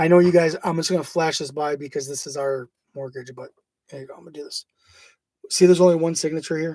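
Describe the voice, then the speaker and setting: This man speaks at a very fast pace, his pitch fairly high for a man and his tone dark and mellow. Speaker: online legal-theory presenter. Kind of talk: informal video talk. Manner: casual, hesitant.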